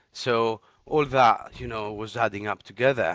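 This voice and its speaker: A man with a Greek accent, a fairly low pitch, ordinary pitch variation and a moderate pace, on a very clean recording with a silent background. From Greece. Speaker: radiographer. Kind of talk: interview. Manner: halting, many fillers.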